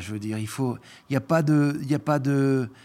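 A man speaks at a fairly slow pace in a dark, mellow tone, on a very clean recording with a silent background. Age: 50s. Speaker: chocolatier. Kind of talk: casual interview conversation.

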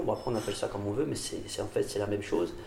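A man talks with lively intonation, with audible room echo and noticeable background noise in the recording. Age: 20s. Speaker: doctoral student and mountain athlete. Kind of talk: casual interview. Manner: hesitant, many fillers.

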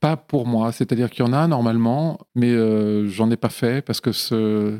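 On a very clean recording with a silent background, a man speaks at medium pitch and a moderate pace. His tone is dark and mellow, and the sound is dry and close with no echo. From Lyon area, France. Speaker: film composer. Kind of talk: casual interview. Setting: home studio. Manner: hesitant, with frequent fillers.

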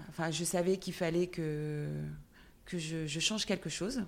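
A fairly low-pitched woman at a moderate pace on a very clean recording with a silent background. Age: 40s. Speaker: entrepreneur. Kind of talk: interview. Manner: halting.

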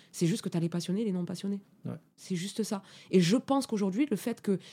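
A somewhat breathy voice with a dark, mellow tone talks at a very fast pace with ordinary pitch variation, on a very clean recording with a silent background. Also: woman. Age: 30s. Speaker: sound engineer. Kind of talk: interview. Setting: studio.

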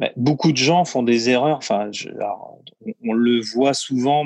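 A man speaks at a medium pitch and a fairly slow pace. The sound is dry and close, with no echo. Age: 30s. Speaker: building business owner and property investor. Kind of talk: interview. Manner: hesitant, many fillers.

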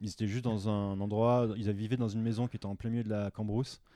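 A man's dark, mellow voice in a monotone, flat delivery at a fairly quick pace, against a quiet background. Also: dry, close sound with no echo. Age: 30s. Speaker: photographer and web designer, former engineer. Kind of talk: casual chat.

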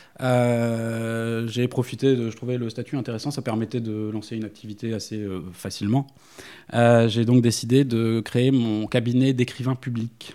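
A man's dark, mellow voice at medium pitch, flat and monotone, at a fairly slow pace. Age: 30s. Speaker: dog trainer. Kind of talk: interview. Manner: halting.

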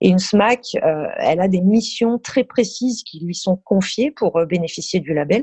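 A somewhat breathy woman's voice at a medium pitch, fairly slow with hardly any pauses and lively intonation. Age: 30s. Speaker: concert venue programmer. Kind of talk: casual interview.

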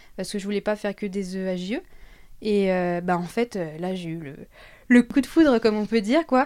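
A woman at medium pitch with lively intonation, a moderate pace and long, frequent pauses, on a very clean recording with a silent background. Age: 20s. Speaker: early childhood educator. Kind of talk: casual interview chat. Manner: hesitant, many fillers.

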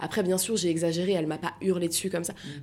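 A woman with a medium pitch keeps her intonation fairly even against noticeable background noise. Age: 30s. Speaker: comedian. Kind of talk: interview.

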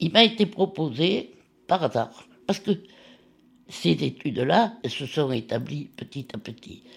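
The voice carries vocal fry and very wide pitch swings. It moves at a very slow pace with long, frequent pauses. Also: woman, big swings in loudness. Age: 80s+. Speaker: retired nurse and lab technician. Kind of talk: personal testimony.

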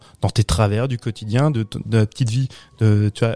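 In a dry, close sound with no echo, a man with a dark, mellow tone talks at a moderate pace and medium pitch with fairly even intonation. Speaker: podcast co-host, film critic. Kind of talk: casual chat.

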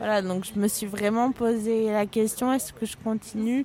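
Her pitch is fairly high, and this woman speaks at a fairly slow pace. Her intonation stays fairly even. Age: 20s. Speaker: lawyer. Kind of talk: interview. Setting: café. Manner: halting.

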